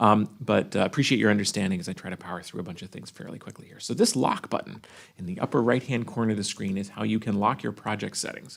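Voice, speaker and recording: Rushing along at a very fast pace, a man with a fairly low pitch uses vocal fry and ordinary pitch variation. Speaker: software product trainer. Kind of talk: live tutorial webinar. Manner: hesitant, many fillers.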